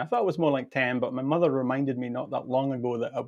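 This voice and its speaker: This man has a Scottish accent and a medium pitch. His intonation stays fairly even. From Scotland, Perth. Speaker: pipe band drummer and teacher. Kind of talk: casual interview.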